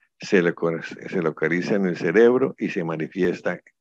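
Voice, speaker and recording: Dry and close with no echo, a man's voice comes through at a very deep, low pitch, a fairly slow pace and ordinary pitch variation. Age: 70s. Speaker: conference speaker. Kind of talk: lecture.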